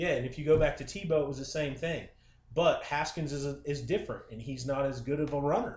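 Speaking very fast with a Midwestern American accent, a man uses a fairly high pitch, ordinary pitch variation and a somewhat breathy voice. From Ohio. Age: 40s. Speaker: sports fan guest. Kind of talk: casual chat.

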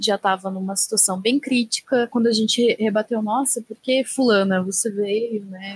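A woman talks with a fairly high pitch and a somewhat breathy quality. The sound is dry and close, with no echo. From interior of São Paulo state. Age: 20s. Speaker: beauty professional. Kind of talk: casual group discussion.

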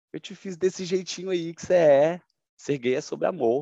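A man at a moderate pace with very wide pitch swings, in a dry, close sound with no echo. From Goiânia, Brazil. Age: 30s. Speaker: sales manager. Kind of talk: testimony.

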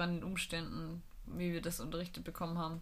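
A woman's fairly low voice at a fairly quick pace, with audible room echo. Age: 20s. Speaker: physiotherapy trainee and student, podcast co-host. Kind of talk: casual chat.

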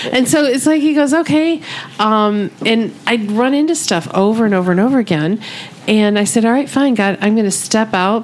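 A woman's fairly high voice with an American accent, lively intonation, very even loudness and a moderate pace over noticeable background noise. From Michigan. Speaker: podcast host and counselor. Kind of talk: casual chat.

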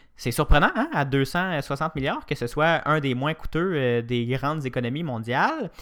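Over a silent background in a very clean recording, a man uses a normal speaking voice at a fairly high pitch, with ordinary pitch variation and hardly any pauses. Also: fairly slow pace. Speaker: news podcast host. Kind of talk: morning news chat.

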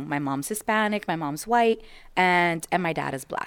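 On a very clean recording with a silent background, a woman with an American accent speaks at a moderate pace and medium pitch with lively intonation. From United States. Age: 20s. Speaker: podcast co-host. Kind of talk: casual chat; inspirational talk.

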